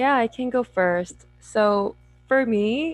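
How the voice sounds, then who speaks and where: Music plays in the background as a woman speaks with a Korean accent. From South Korea. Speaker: memoir author. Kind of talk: panel discussion.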